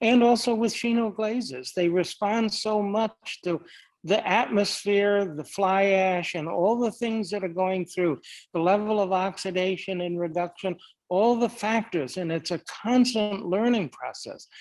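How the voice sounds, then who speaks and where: In a very clean recording with a silent background, a man speaks at a fairly slow pace in a high pitch with ordinary pitch variation. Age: 80s+. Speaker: potter. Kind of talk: panel discussion.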